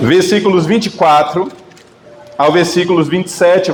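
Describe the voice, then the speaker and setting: Against noticeable background noise, a man talks at a high pitch with ordinary pitch variation. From Northeast Brazil, Bahia. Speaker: guest preacher. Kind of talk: sermon. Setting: church.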